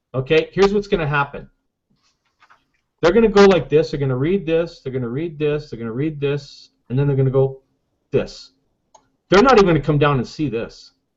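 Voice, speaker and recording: Talking at a fairly quick pace with long, frequent pauses, a man uses a fairly high pitch and ordinary pitch variation. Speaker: online marketing coach. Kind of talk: tutorial. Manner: loud; animated.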